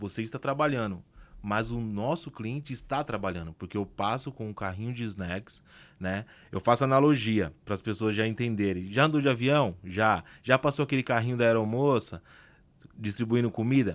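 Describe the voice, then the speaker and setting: On a very clean recording with a silent background, a man speaks in a plain, everyday voice at a moderate pace, medium in pitch with ordinary pitch variation. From Brazil, working-class outskirts. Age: 30s. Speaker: entrepreneur. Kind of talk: podcast interview.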